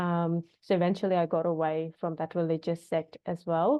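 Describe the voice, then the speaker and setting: The speaker is a woman with monotone, flat intonation. She talks at a fairly slow pace. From India, small town. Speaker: wellness practitioner, death doula. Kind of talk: interview conversation. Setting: podcast. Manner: many fillers, halting.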